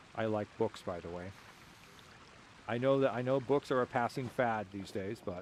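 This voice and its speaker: A man with a medium pitch and a deadpan tone speaks at a moderate pace, with long, frequent pauses. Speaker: gaming streamer. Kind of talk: casual chat. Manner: dry deadpan delivery.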